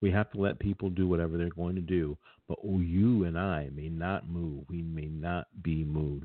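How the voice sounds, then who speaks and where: A man speaks in a very deep, low pitch with fairly even intonation. He leaves hardly any pauses. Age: 50s. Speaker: podcast host. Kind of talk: solo talk show monologue. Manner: halting, frequent fillers.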